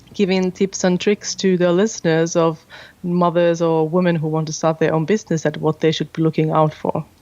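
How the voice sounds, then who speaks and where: In a Finnish accent, a woman speaks at a moderate pace and a fairly low pitch, monotone and flat, over a quiet background. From Finland. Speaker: podcast host and business owner. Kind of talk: interview.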